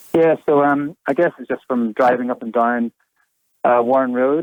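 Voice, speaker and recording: A man with a Northern Irish accent speaks at a medium pitch. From Northern Ireland. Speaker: kayak and e-bike hire business owner. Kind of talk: radio interview. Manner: hesitant, many fillers.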